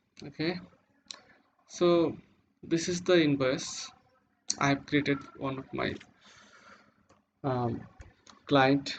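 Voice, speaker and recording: A man talks at a very slow pace with a non-native accent and long, frequent pauses. His pitch is fairly high and his intonation fairly even. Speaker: web developer. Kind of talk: tutorial. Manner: halting.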